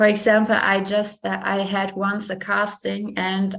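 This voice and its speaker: A woman with a German accent talks in a monotone, flat intonation. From Germany. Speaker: fashion model. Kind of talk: interview. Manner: halting.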